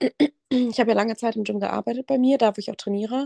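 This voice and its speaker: A woman speaks in a dark, mellow tone with ordinary pitch variation. The sound is dry and close, with no echo. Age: 20s. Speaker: university student and gym content creator. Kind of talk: casual chat.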